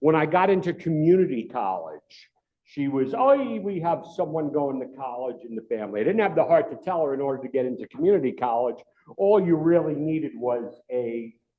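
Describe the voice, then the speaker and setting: This man has a fairly high pitch and a New York accent. He talks at a moderate pace with lively intonation. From New York City. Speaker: retired FBI agent, cyber security speaker. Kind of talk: club talk presentation. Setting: club meeting room with audience. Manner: animated.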